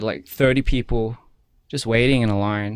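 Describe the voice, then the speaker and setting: Recorded very cleanly against a silent background, a man with an Australian accent speaks at a medium pitch with fairly even intonation. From Australia, Wollongong. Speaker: musician, former K-pop idol. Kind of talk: interview. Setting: studio. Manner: soft-spoken; halting, many fillers.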